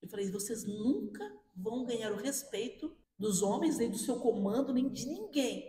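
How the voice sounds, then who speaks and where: The woman's tone is dark, mellow and somewhat breathy. She speaks at a moderate pace with ordinary pitch variation. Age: 60s. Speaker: firefighter. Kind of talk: interview. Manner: animated.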